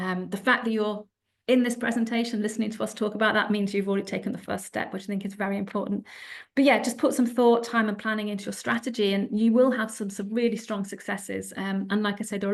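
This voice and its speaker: A woman speaks very fast in a British accent, somewhat breathy, at a fairly high pitch. Her intonation is monotone and flat over a quiet background. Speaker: publishing sales executive, panelist. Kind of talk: panel presentation.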